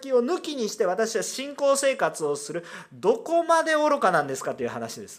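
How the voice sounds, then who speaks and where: A man speaks with lively intonation at an extremely high pitch. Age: 30s. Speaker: pastor. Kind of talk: sermon.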